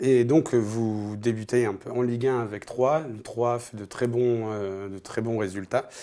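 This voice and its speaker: At a fairly slow pace and with hardly any pauses, a man with a dark, mellow tone speaks in fairly even intonation while his loudness swings widely. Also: medium pitch for a man. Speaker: football show host. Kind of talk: interview.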